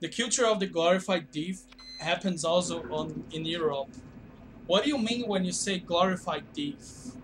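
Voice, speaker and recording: Amid noticeable background noise, a high-pitched man with a Brazilian Portuguese accent talks at a moderate pace with lively intonation. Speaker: video game streamer. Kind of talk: casual live-stream chat. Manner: hesitant, many fillers.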